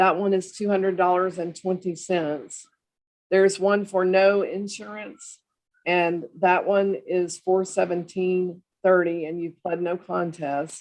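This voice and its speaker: Her medium-pitched voice moves at a fairly slow pace, and the woman keeps her intonation fairly even. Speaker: municipal judge. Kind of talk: court hearing. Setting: video call. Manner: loud; formal.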